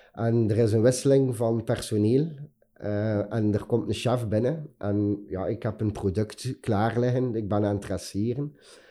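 The voice has a dark, mellow tone and fairly even intonation, moving at a fairly slow pace. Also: man, medium pitch for a man. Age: 40s. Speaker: chef. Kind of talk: interview. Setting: office studio. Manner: halting.

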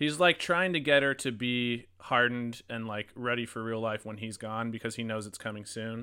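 A man's medium-pitched voice, an ordinary speaking voice, on a very clean recording with a silent background. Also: ordinary pitch variation, moderate pace. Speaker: podcast host. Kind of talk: casual chat, movie review. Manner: casual, profane, interrupts.

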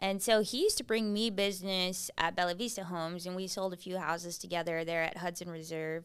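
With a plain, everyday voice, a woman speaks at a fairly quick pace and medium pitch, her intonation fairly even and hardly any pauses, in a very clean recording over a silent background. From South Texas, Kingsville near Corpus Christi. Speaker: real estate agent. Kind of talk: casual interview chat.

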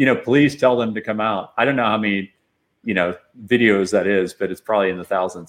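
Spoken in an ordinary speaking voice with an American accent, the delivery shows ordinary pitch variation. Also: man. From Austin, Texas. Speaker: tech company founder and CEO. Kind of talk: interview.

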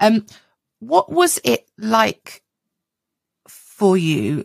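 A woman with a British accent speaks at a very slow pace. The sound is dry and close, with no echo. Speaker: podcast co-host. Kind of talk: casual interview.

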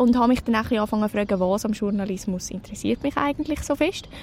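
The woman rattles along very fast, her pitch shifting normally, with noticeable background noise present. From Switzerland, canton of Zurich (near Zürcher Oberland). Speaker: mentor and university student. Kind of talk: interview. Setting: café next to a train station.

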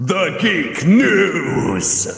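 A man's high-pitched, put-on character voice with clear echo. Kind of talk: dramatic.

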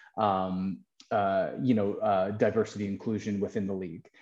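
A man's voice has a dark, mellow tone with ordinary pitch variation. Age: 40s. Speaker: music and sports journalist. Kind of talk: interview. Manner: casual, many fillers.

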